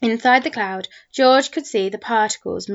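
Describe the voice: The reading aloud is plain. Pitch moves within an ordinary range.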